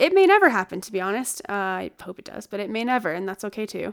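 A woman with an unremarkable speaking voice talks at a fairly quick pace and a medium pitch. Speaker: podcast host. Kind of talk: casual chat. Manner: casual, chatty.

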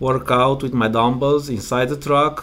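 This man speaks at a medium pitch with a Romanian accent. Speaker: truck driver and driver coach. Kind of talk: interview, casual conversation. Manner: halting, hesitant with fillers.

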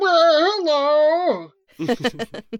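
A woman performs a put-on character voice at a high pitch. Her intonation is lively. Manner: put-on country drawl.

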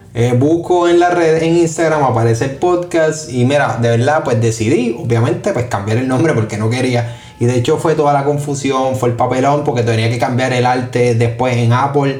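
A man's medium-pitched voice with a Puerto Rican accent, moderate pace, hardly any pauses, ordinary pitch variation and very even loudness, over noticeable background noise and audible room echo. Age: 20s. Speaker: podcast host. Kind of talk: casual solo monologue.

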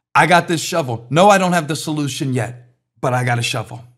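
A fairly high-pitched man's animated tone with ordinary pitch variation and audible room echo. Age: 50s. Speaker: pastor. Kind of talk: sermon.

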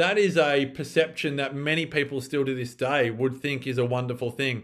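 A man with an Australian accent, a fairly high pitch and ordinary pitch variation. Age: 40s. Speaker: former journalist and longevity researcher. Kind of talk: casual interview.

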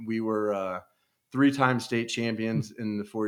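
This very clean recording with a silent background has a man with an American accent speaking at a moderate pace in a fairly low pitch. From Kansas City area, US Midwest. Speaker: retired sports radio producer and author. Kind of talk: podcast interview. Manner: halting.

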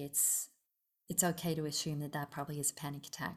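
A woman speaks very fast in a flat monotone with a very deep, low pitch, on a very clean recording with a silent background. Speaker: mental health professional. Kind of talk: interview.

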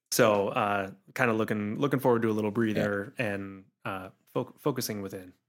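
With an unremarkable speaking voice, a man talks at a fairly quick pace and a fairly low pitch, his intonation fairly even. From Pittsburgh, western Pennsylvania. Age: 30s. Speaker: climbing gym business owner. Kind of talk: interview conversation. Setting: studio.

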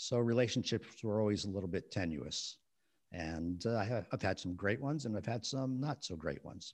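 Over a quiet background, a man with an unremarkable speaking voice and a fairly low pitch talks at a fairly quick pace with lively intonation. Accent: American. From New Jersey, West New York. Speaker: author and relationship counselor. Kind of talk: interview conversation.

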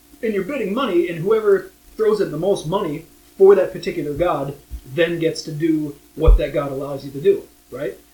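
A man with an American accent talks fairly quickly in a high pitch, with ordinary pitch variation and big swings in loudness. Noticeable background noise runs underneath. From Minnesota, US Upper Midwest. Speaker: board game podcast co-host. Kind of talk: casual chat.

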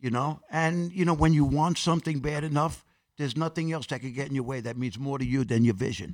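Over a silent background in a very clean recording, a man speaks very fast at a fairly high pitch. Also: ordinary pitch variation. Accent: New York. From Corona, Queens, New York City. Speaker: actor and personal trainer. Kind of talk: interview.

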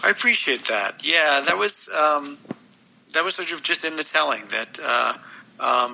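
Speaking at a fairly slow pace, a man uses a fairly high voice. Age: 50s. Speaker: graphic novel author. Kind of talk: casual chat.

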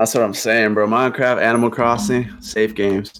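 At a moderate pace, a man with a medium pitch talks in a normal speaking voice. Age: 20s. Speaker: twitch streamer. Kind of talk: casual chat.

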